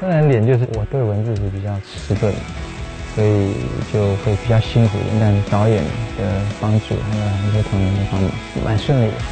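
A man speaks at a moderate pace with fairly low pitch and ordinary pitch variation. Clear music plays in the background. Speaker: singer and guest narrator. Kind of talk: interview answer. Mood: warm, relaxed. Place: studio.

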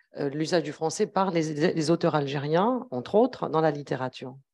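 Her intonation lively, a woman speaks at a moderate pace with a fairly low pitch. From Algeria. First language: Arabic and Kabyle (speaking French). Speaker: academic researcher; speaker. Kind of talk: academic talk at round table. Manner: hesitant, many fillers. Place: meeting room. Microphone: handheld.

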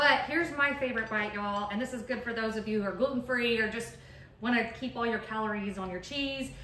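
Talking at a very fast pace with a Texan accent, a woman with a fairly high pitch is heard amid audible room echo and light background noise. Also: ordinary pitch variation. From Texas. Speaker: cheese shop owner; cheese shop host. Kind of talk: tutorial. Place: shop.

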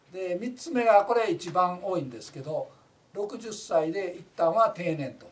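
Lively in intonation, a man with a high pitch speaks at a fairly slow pace. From Kansai, Japan. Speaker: labor union representative. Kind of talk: informal talk on a labor case. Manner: rambling, many fillers. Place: office.

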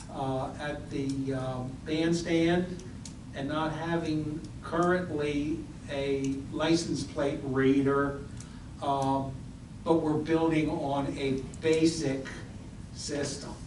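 A man speaks very slowly in a fairly high, monotone voice, leaving long, frequent pauses. Noticeable background noise and audible room echo fill the recording. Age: 60s. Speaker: local official at council meeting. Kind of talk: public meeting discussion.

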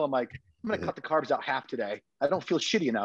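A man with an American accent talks at a very fast pace, his pitch fairly high. The sound is dry with no echo, and the background is quiet. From Connecticut. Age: 30s. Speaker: bodybuilder and dietitian coach; dietitian coach. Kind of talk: casual interview chat. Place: kitchen. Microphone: video call.

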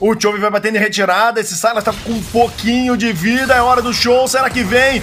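Speech moves at a fairly quick pace over music in the background. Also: man, extremely high pitch for a man. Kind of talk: esports commentary, play-by-play of a match. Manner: fast, excitable, punchy shout-out delivery; dramatic, theatrical, with catchphrases and wordplay.

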